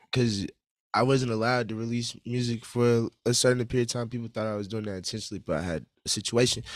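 Against a quiet background, a man talks at a very fast pace with fairly even intonation, the sound dry with no echo. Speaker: guest. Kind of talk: interview answer. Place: studio. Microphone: studio mic.

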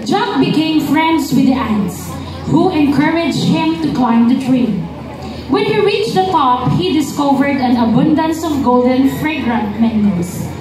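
A woman's high-pitched voice at a fairly slow pace, with noticeable background noise and audible room echo. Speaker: event narrator. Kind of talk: narrated story reading. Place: street.

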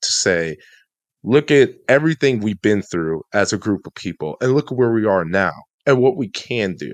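Someone with an American accent speaks at a moderate pace with lively intonation. The background is quiet, and the sound is dry with no echo. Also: man. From Chicago suburbs, US Midwest; Illinois. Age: 20s. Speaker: podcast co-host. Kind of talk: casual chat. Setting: studio. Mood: reflective, encouraging. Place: home room. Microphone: studio mic.

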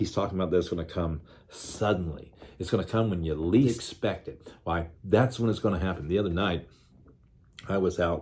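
A man's very deep, low voice, somewhat breathy, at a moderate pace with ordinary pitch variation. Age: 60s. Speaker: pastor. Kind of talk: devotional sermon. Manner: conversational, folksy. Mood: animated storytelling. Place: office. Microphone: phone near.

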